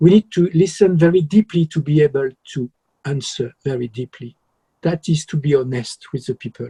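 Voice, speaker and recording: Speaking at a moderate pace with a French accent, the man has a fairly high pitch, a dark, mellow tone, a somewhat breathy quality, ordinary pitch variation, and a dry, close sound with no echo. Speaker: musician. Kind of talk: interview.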